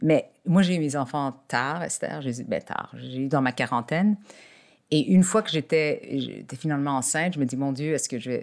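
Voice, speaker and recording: A woman's very deep, low voice with ordinary pitch variation at a moderate pace, in a very clean recording with a silent background. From Quebec, Montreal. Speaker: executive coach and lawyer. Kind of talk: interview. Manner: halting, many repetitions.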